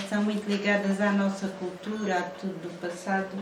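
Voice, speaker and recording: With audible room echo and noticeable background noise, a woman of medium pitch speaks at a moderate pace in a flat, monotone way. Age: 60s. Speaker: artisan. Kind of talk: documentary interview.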